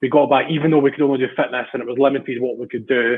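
Someone with a Scottish accent speaks very fast in a flat, monotone delivery. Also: man. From Central Scotland. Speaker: amateur rugby player. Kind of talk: casual chat. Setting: video call.

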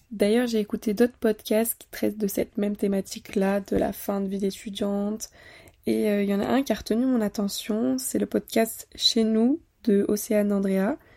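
A dark, mellow tone comes through at a moderate pace with ordinary pitch variation, in a dry, close sound with no echo and a very clean recording with a silent background. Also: woman, medium pitch for a woman. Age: 20s. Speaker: podcast host, student. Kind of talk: casual solo monologue. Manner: conversational, with occasional laughs.

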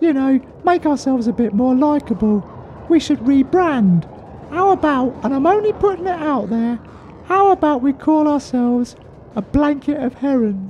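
With clear background noise, a female-sounding voice puts on a character voice, high-pitched for a woman, at a moderate pace. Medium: comedy sketch. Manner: chatty, rambling, anxious.

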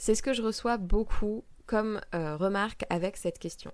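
With lively intonation, an ordinary speaking voice proceeds at a fairly slow pace. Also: woman. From France, Val-de-Marne (Paris area). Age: 20s. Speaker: astrologer and podcast host. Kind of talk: solo podcast Q&A monologue.

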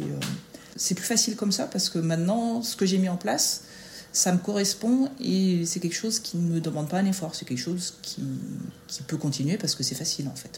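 Noticeable background noise runs under a woman's voice. She talks at medium pitch and a fairly quick pace, with ordinary pitch variation. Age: 40s. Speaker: school staff member and mother. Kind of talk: interview, casual chat. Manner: hesitant, many fillers.

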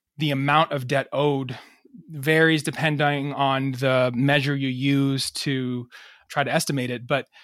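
Over a very clean recording with a silent background, a man with an American accent talks in a medium pitch with monotone, flat intonation. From Massachusetts and New York. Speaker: physician and historian. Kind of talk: interview.

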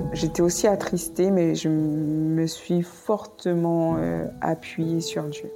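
With music in the background and audible room echo, a woman speaks very slowly at a fairly low pitch with fairly even intonation. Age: 30s. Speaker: nurse. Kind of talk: testimony. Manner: halting.

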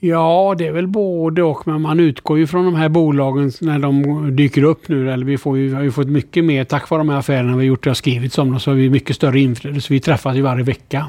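A man with a dark, mellow tone and a fairly high pitch talks at a fairly quick pace, his intonation fairly even. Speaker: investor. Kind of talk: interview.

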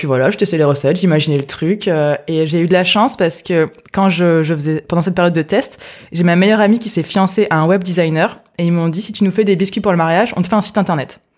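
The speaker is a woman with a fairly low pitch. She talks at a very fast pace with ordinary pitch variation. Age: 20s. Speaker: entrepreneur. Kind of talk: interview.

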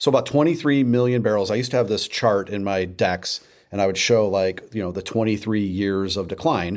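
In a very clean recording with a silent background, a man with an American accent uses a plain, everyday voice, fairly low in pitch, speaking at a fairly quick pace with ordinary pitch variation. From St. Louis, Missouri. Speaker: former beer marketer. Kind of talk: interview.

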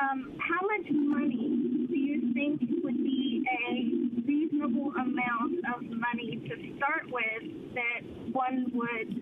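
A woman speaks with a high pitch and ordinary pitch variation. Audible room echo surrounds her voice. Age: 50s. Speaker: caller. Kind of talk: call-in question.

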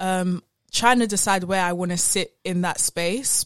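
A woman with an Essex accent speaks at a fairly low pitch. The recording is very clean with a silent background and a dry, close sound with no echo. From Essex, England. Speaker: podcast co-host. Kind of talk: casual chat.

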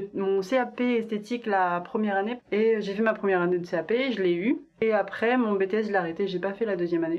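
A woman speaks in a normal speaking voice at a moderate pace. Her pitch variation is ordinary. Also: medium pitch for a woman. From rural France. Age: 20s. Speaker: podcast guest, expat in Korea. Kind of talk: casual chat.

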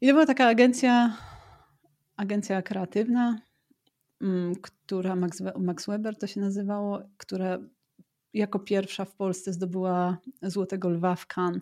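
A woman speaks at a medium pitch and a fairly slow pace, with long, frequent pauses and ordinary pitch variation. Her loudness swings a lot on a very clean recording with a silent background. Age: 40s. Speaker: marketing strategist with ADHD. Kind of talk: casual interview conversation.

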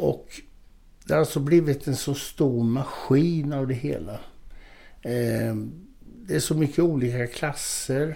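At a very slow pace with long, frequent pauses, a man speaks in a fairly high pitch with a dark, mellow tone and ordinary pitch variation. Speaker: former bodybuilding champion and author. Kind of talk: casual interview.

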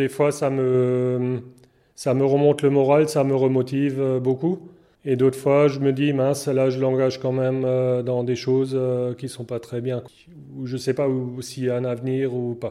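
This man talks at a fairly slow pace with long, frequent pauses and monotone, flat intonation. His pitch is medium and his tone is dark and mellow. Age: 40s. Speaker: dairy farmer. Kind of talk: interview. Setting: farm. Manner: halting.

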